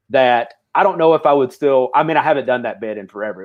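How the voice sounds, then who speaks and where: A fairly quick pace and lively intonation from a man. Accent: Southern. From US South. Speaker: stand-up comedian. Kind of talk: casual chat.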